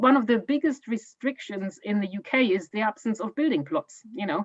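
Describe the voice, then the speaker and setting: A woman with a German accent talks at a moderate pace in a dry, close sound with no echo. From Germany. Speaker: homeowner giving an eco home tour. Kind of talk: Q&A in online talk. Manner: halting, many fillers and repeats.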